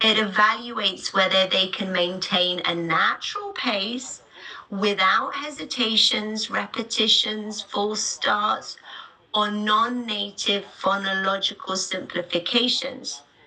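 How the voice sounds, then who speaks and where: With a British accent, a woman speaks very slowly at a fairly high pitch over noticeable background noise. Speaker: teacher trainer. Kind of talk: webinar. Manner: unscripted, with pauses and fillers.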